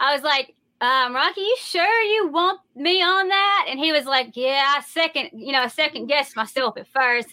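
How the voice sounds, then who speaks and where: A woman talks at a moderate pace with hardly any pauses. Her high voice has lively intonation. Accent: Southern US. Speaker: rock singer. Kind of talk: casual chat.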